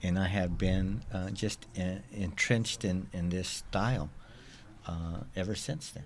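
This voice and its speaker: A man's very deep, low voice at a fairly slow pace, with ordinary pitch variation and audible room echo. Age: 60s. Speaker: cultural event organizer. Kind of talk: interview. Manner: halting.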